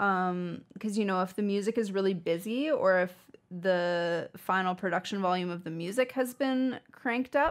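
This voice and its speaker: A woman with a Canadian accent speaks in a normal speaking voice at a medium pitch. Her pace is moderate, on a very clean recording with a silent background. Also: ordinary pitch variation. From Saskatchewan, Canada. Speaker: audio engineer and musician. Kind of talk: podcast interview.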